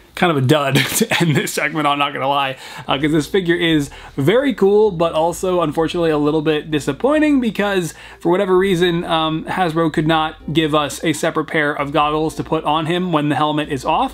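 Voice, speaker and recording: With ordinary pitch variation, a man talks at a fairly quick clip. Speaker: toy collector vlogger. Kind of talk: casual vlog chat. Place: home room.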